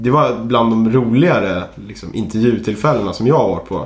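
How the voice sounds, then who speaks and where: Audible room echo around a man's voice of medium pitch. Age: 20s. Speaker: podcast co-host, junior software developer. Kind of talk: casual chat.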